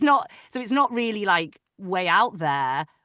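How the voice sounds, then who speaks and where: The voice has a bright, sharp tone and a northern English accent, with vocal fry. It moves at a fairly slow pace. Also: woman. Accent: soft northern English. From northern England, Manchester. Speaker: audiobook narrator. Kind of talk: casual chat. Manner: halting.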